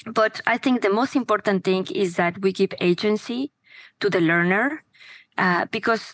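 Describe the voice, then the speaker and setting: With a Spanish accent, the speaker goes at a moderate pace with ordinary pitch variation, the sound dry and close with no echo against a quiet background. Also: woman. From Mexico. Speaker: education startup founder. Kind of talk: interview conversation.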